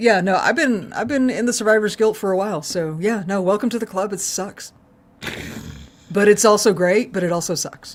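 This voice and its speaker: A woman with a slight Texan accent talks over noticeable background noise. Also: medium pitch for a woman, ordinary pitch variation, moderate pace. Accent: Texas accent, slight. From Texas. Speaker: podcast co-host. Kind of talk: casual chat. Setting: live stream.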